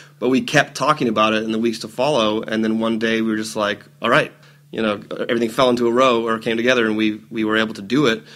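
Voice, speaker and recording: At a very fast pace, a man speaks at a medium pitch with monotone, flat intonation. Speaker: event organizer and actor. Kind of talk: podcast interview. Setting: studio.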